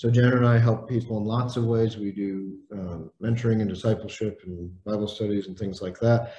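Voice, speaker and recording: With hardly any pauses, a man with an American accent speaks at a moderate pace in a fairly low pitch, his tone dark and mellow, somewhat breathy, and his intonation monotone and flat. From Indiana, US Midwest. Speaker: leadership trainer and executive coach. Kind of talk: interview.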